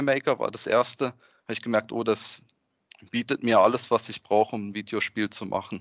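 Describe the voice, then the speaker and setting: With his pitch sitting in a middle range, a man talks at an even, moderate speed. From Freiburg, southwestern Germany. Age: 30s. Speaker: product designer and hobby game developer. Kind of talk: podcast interview. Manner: hesitant, many fillers.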